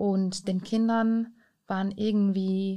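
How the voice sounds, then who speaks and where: Recorded very cleanly against a silent background, a woman with a non-native accent speaks at medium pitch in a dark, mellow tone with fairly even intonation. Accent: foreign accent in German. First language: not German (speaking German). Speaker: immigrant interviewee. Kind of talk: interview.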